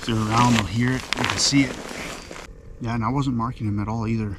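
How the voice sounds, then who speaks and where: A man of medium pitch speaks very fast in a monotone, flat intonation, with audible room echo and noticeable background noise. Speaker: fishing vlogger. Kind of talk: casual vlog narration. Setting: outdoors on a frozen lake.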